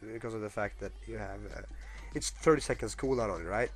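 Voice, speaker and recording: This man talks at a fairly quick pace. Music can be heard behind him. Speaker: gamer, video game guide maker. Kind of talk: casual gameplay guide commentary. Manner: hesitant, many filler words.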